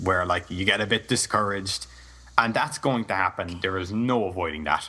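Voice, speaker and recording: This man has an Irish accent and a fairly low pitch. His tone is bright and sharp. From Ireland. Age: young. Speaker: Let's Play gamer. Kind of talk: interview.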